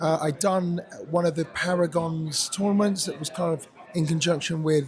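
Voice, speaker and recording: Ordinary pitch variation with music in the background. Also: man. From England. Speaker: esports caster. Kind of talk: casual interview.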